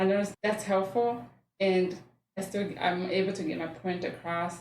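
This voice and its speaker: In a room with audible echo, a woman talks with a Rwandan accent at medium pitch. Her intonation is fairly even and her pace moderate. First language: Kinyarwanda. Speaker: mental health worker. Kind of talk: podcast interview.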